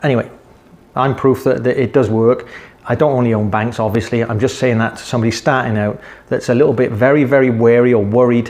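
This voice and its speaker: Very fast and at medium pitch, a man talks with a British accent. His intonation stays monotone and flat. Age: 60s. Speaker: investing vlogger. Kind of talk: casual investing advice talk. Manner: conversational, repetitive.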